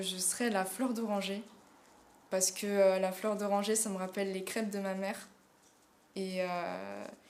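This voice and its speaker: Amid audible room echo, a woman with a medium pitch speaks fairly slowly with monotone, flat intonation. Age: 20s. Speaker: drama student. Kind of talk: casting self-presentation. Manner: hesitant, many fillers.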